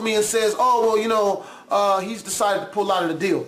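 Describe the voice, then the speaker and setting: Against audible room echo, a man speaks loud and animated at an extremely high pitch. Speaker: YouTube reaction video creator. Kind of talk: casual vlog commentary.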